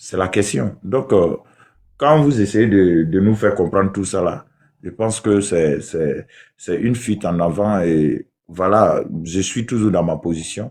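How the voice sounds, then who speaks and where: In a Burkinabe accent, a man with a fairly low pitch speaks against a quiet background. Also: ordinary pitch variation, fairly slow pace. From southwest Burkina Faso. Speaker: debate participant. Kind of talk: heated debate. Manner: halting.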